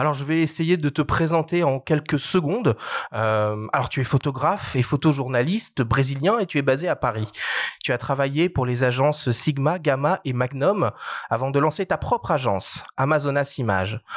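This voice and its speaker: A man talks with lively intonation at a fairly high pitch. His is a normal speaking voice. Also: moderate pace. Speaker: podcast host. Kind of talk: podcast interview.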